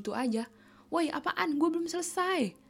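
Noticeable background noise sits behind a woman who speaks very fast. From Indonesia. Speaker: podcast host, university student abroad. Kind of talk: casual monologue.

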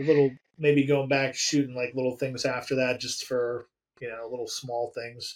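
A man at medium pitch with an American accent, at a moderate pace, in a monotone, flat intonation. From Pennsylvania, near Harrisburg. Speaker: horror film director. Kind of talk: casual interview chat.

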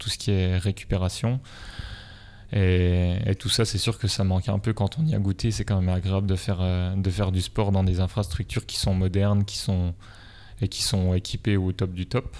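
A man talks with a very deep, low pitch at a moderate pace. His intonation stays fairly even. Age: 20s. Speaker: nurse and triathlete. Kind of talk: interview.

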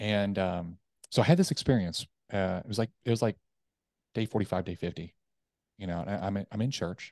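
Against a quiet background, a man with a fairly low pitch and ordinary pitch variation sounds dry and close, with no echo. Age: 30s. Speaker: military veteran and sales and leadership coach. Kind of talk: interview testimony. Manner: direct, to the point.

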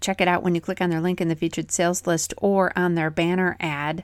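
A woman with a plain, everyday voice, medium pitch and a fairly quick pace, on a very clean recording with a silent background. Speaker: dairy news podcast host. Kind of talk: radio-style market report read aloud, rapid dispatch of prices and sale announcements. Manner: brisk, even, businesslike; crisp, rattling off figures in a steady newsreader cadence.

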